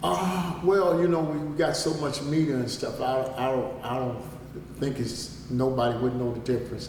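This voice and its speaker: Through noticeable background noise and audible room echo, a man talks at a moderate pace and medium pitch with ordinary pitch variation. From Chicago, US Midwest. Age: 60s. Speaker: interviewee, relative of a local figure. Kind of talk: interview. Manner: repetitive, stammering restarts.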